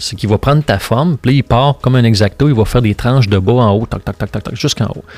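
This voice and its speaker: Very fast speech with ordinary pitch variation. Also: man. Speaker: sculptor. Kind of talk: casual interview. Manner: halting, many fillers.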